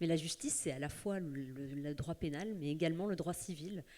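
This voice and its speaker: The woman's tone is dark and mellow. Her pitch moves by an ordinary amount. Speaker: magistrate, panelist. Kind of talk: round table talk.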